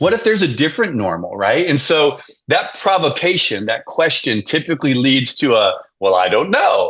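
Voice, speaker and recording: A man talks at a moderate pace. His loudness stays very even throughout. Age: 60s. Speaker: leadership coach and author. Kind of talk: podcast interview.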